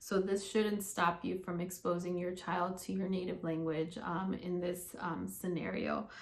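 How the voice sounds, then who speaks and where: Her intonation is monotone and flat. The woman's voice carries audible room echo. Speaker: speech-language pathologist. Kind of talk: casual talk to followers. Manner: many filler ums.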